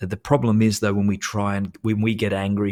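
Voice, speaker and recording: A man's fairly low-pitched voice at a moderate pace, on a very clean recording with a silent background. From Australia. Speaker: meditation guide. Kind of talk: interview answer. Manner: gentle, soft-spoken.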